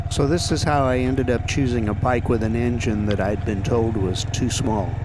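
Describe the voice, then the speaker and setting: A man speaks at a medium pitch with very even loudness. The recording has audible room echo and noticeable background noise. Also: ordinary pitch variation, moderate pace. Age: 60s. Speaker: vlogger, beginner motorcyclist. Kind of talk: prepared monologue to camera.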